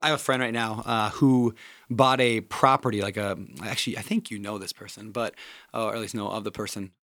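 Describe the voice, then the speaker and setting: Here is a man with an American accent and an ordinary speaking voice. He talks at a fairly quick pace, with medium pitch and fairly even intonation. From small town Minnesota, US Midwest. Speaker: podcast host. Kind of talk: casual interview.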